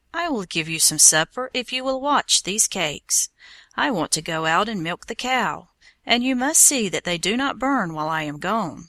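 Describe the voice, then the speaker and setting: A female-sounding, raspy put-on character voice speaks at a moderate pace and medium pitch. The recording is very clean, with a silent background. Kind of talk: storytelling for English learners. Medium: read story.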